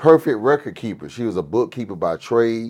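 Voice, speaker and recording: A man's normal speaking voice with an American accent, medium pitch, lively intonation and a moderate pace against a quiet background. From US South, Miami, Florida. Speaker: pastor. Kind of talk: casual chat.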